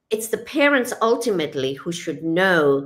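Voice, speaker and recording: The speaker is a woman. Her intonation is lively. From Kenya. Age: 60s. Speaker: retired psychiatrist and author. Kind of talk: interview. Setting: radio show.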